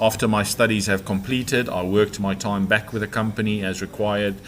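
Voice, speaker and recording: Noticeable background noise runs through the clip. A man speaks at a fairly low pitch. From South Africa. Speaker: property developer. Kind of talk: podcast interview, life story. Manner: hesitant, many fillers.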